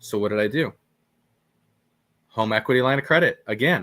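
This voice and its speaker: Bright and sharp in tone, a man with an American accent talks at a moderate pace with ordinary pitch variation, on a very clean recording with a silent background. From Oregon, US Pacific Northwest. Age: 30s. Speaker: real estate investor. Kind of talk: podcast interview. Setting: live stream. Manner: halting, with many repeated words.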